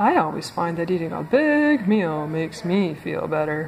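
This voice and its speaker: A woman puts on a character voice pitched fairly low, with clear background noise behind her. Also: moderate pace. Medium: read story.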